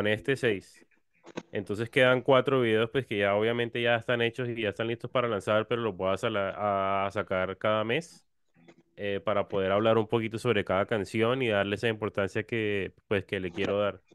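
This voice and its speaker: In a dry sound with no echo and a quiet background, a man speaks at a moderate pace with a fairly low pitch and fairly even intonation. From Cartagena, Colombia; Colombia. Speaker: musician; guest. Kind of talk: interview. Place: home room. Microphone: studio mic.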